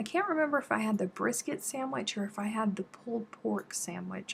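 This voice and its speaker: With an American accent, a woman of medium pitch speaks with lively intonation over noticeable background noise. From South Carolina. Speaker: crochet YouTuber. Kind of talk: casual live-stream chat while crafting. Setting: YouTube live stream.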